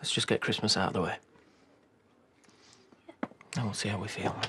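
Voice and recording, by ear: Putting on a character voice, a man speaks at a fairly low pitch with fairly even intonation, his bright, sharp tone carrying a husky, rough edge. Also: moderate pace.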